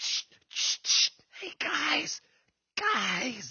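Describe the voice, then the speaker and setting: A raspy, put-on character voice whispers. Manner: loud whispering, shushing.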